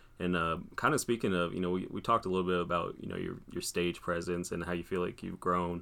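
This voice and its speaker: In a very clean recording with a silent background, a man with an American accent talks at a very fast pace in a very deep, low voice. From Des Moines, Iowa. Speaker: podcast host, vintage clothing seller. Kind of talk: casual interview.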